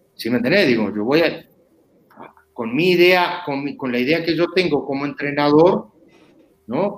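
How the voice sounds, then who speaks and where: In a Uruguayan accent, a man speaks at a moderate pace in a fairly high pitch with very wide pitch swings. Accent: Rioplatense Uruguayan Spanish. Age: 50s. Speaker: former footballer. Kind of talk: interview. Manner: halting, repetitive.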